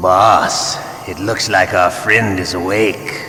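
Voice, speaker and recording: Someone speaks fairly slowly in a put-on character voice, with slight echo and clear background noise. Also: man, fairly low pitch for a man. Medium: machinima. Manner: sneering, playful cruelty.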